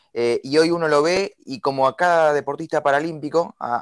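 A man speaks in a Rioplatense accent with a dry, close sound and no echo. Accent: Argentine Spanish (rioplatense). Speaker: radio host. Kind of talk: radio interview.

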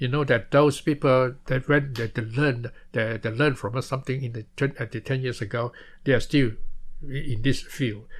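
Somewhat breathy, the voice moves at a moderate pace with fairly even intonation. The background is quiet. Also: man, medium pitch for a man. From Malaysia. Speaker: former political prisoner, author. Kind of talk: interview testimony. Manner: halting.

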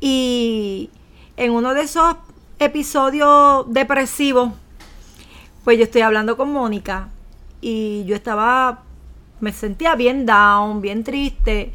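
A woman's high-pitched voice with a bright, sharp tone and ordinary pitch variation, at a very slow pace with long, frequent pauses. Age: 50s. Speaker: blogger. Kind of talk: casual chat. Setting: home recording. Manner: animated.

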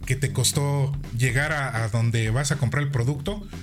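Speaking with a Mexican accent, a man uses a medium-pitched, somewhat breathy voice. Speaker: podcast host. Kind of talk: casual chat. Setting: live-streamed podcast.

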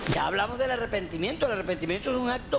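A man's extremely high-pitched voice carries lively intonation, with audible room echo and noticeable background noise. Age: 50s. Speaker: pastor. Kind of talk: teaching session answering questions from congregation.

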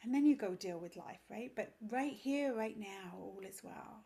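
A woman with an English accent speaks at a moderate pace, her fairly high voice somewhat breathy. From England. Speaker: yoga teacher and parenting coach. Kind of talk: casual interview.

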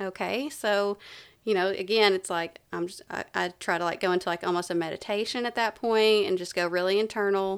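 In a very clean recording with a silent background, a woman with an Appalachian accent talks at medium pitch and a fairly quick pace with fairly even intonation. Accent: Southern US (Appalachian). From East Tennessee. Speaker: wellness coach and yoga instructor. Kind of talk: casual interview.

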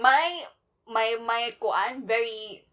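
The speaker is a woman with a fairly high voice. Her pitch shows ordinary variation. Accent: Cebuano. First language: Cebuano. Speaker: podcast co-host. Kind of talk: casual chat.

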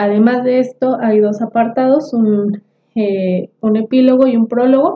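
A woman talks in an unremarkable speaking voice, fairly high in pitch. She goes at a fairly slow pace with ordinary pitch variation. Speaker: podcast co-host. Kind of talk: casual book discussion.

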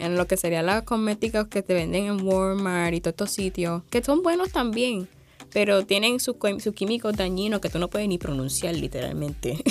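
With a Puerto Rican accent, a woman talks at medium pitch and a moderate pace, using ordinary pitch variation. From Puerto Rico, Sabana Grande. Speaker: university student entrepreneur. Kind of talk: interview.

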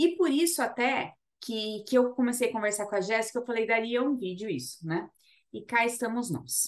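Speaking at a moderate pace, a woman uses an ordinary speaking voice with a fairly high pitch and lively intonation. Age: 30s. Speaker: labour lawyer, podcast co-host. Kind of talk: casual legal chat.

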